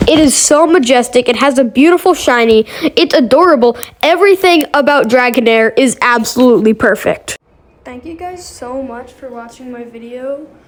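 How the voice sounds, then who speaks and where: With noticeable background noise behind her, a woman speaks at a moderate pace in a high pitch. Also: ordinary pitch variation. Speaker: gaming YouTuber. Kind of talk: casual tier-list commentary. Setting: bathroom of a karate school. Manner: soft-spoken; hesitant, many fillers.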